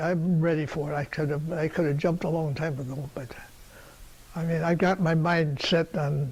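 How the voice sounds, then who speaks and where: A man with a fairly high pitch talks at a moderate pace in a monotone, flat manner. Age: 80s+. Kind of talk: interview answer.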